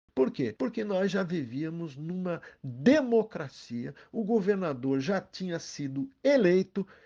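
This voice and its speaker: This voice has a dark, mellow tone and very wide pitch swings, moving at a very slow pace with hardly any pauses against a quiet background. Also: man, high pitch for a man. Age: 70s. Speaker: energy company executive. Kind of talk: interview explanation. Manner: animated.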